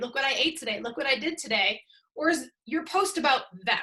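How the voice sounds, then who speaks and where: With an American accent, a woman projects a raised voice at a high pitch, her tone bright and sharp and her intonation lively. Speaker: social media coach. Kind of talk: webinar talk. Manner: casual, conversational.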